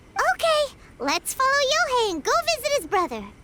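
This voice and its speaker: In a put-on, squeaky character voice with an extremely high pitch, the speaker moves at a fairly quick pace over clear background noise. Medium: video game. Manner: excitable, chatty, casual.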